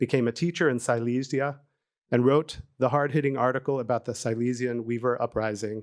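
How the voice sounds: The quiet background carries a natural reading voice whose intonation is fairly even.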